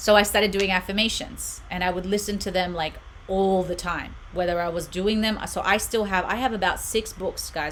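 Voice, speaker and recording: Noticeable background noise runs under the audio, along with audible room echo. The voice has an Australian accent. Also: woman. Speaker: meditation channel host. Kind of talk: live stream chat. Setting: home room. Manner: animated.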